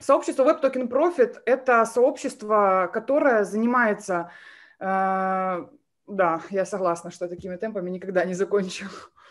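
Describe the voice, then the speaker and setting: A woman speaks at a fairly slow pace with lively intonation and big swings in loudness. The background is quiet. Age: 20s. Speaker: MLM coach; webinar presenter. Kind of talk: webinar presentation. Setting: live stream with chat. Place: home room. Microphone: webcam.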